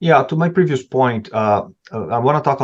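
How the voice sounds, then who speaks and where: Against a quiet background, a man speaks with a strong non-native accent. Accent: non-native, strong (self-described horrible). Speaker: supply chain expert, panelist. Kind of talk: webinar panel discussion. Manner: halting, many repetitions.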